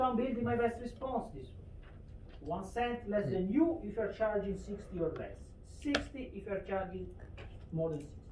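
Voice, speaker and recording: The speech moves at a moderate pace with long, frequent pauses, and background noise is noticeable. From Italy. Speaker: economics lecturer. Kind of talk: lecture.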